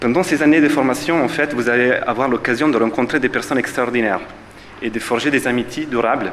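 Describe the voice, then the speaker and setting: The speaker has a strong Italian accent and a fairly quick pace. Intonation stays fairly even over noticeable background noise. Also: man. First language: Italian (speaking French). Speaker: physiotherapist, alumnus. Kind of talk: ceremony speech. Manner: hesitant, many fillers.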